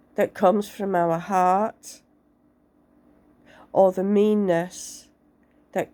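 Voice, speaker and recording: Speaking at a very slow pace, a woman keeps a medium pitch and fairly even intonation. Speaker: tarot reader. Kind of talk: tarot reading to camera.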